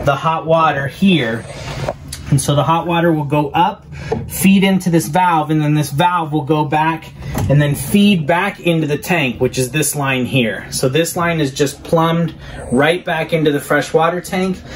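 With ordinary pitch variation and a moderate pace, a man talks over light background noise. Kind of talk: tutorial. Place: bathroom. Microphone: camera far.

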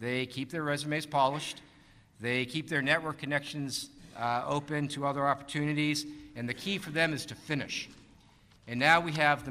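This man has a fairly high pitch and a bright, sharp tone, speaking with an American accent. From US Northeast, Boston. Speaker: navy admiral, personnel commander; panelist. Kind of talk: conference panel talk. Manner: fast. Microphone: podium.

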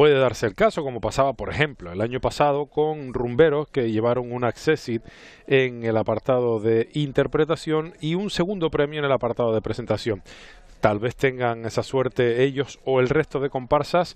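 The sound is dry with no echo as a man talks at a moderate pace with ordinary pitch variation. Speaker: TV commentator. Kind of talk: commentary. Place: hall.

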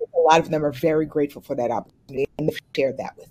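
Very fast, a woman talks at a low pitch in a slightly mellow tone with ordinary pitch variation.

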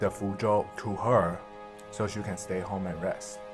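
Music plays clearly in the background as a man speaks. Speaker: food vlogger. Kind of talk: casual vlog chat, storytelling while eating. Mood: relaxed, telling ghost story. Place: home room.

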